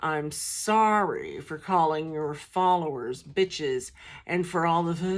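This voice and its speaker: This is a put-on character voice, booming and in a middle pitch. It moves at a fairly slow pace. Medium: read story. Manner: booming, indignant.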